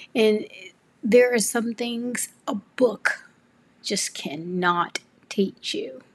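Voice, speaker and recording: With an American accent, a woman speaks very slowly in a fairly high, somewhat breathy voice with lively intonation and long, frequent pauses. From US South, Memphis, Tennessee. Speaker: podcast host, artist and arts educator. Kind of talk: personal tribute monologue.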